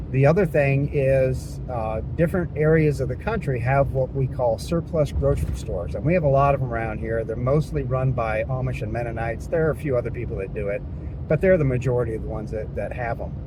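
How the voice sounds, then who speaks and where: A man speaks at a very fast pace. Noticeable background noise and audible room echo are present. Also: hardly any pauses. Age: 60s. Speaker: diet lifestyle vlogger. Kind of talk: casual talk to camera.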